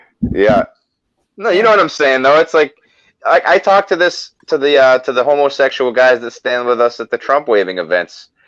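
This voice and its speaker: Speaking in a Boston accent, a man talks at a fairly quick pace. His fairly high voice makes very wide pitch swings. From US Northeast, Boston. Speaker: political activist. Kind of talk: casual chat.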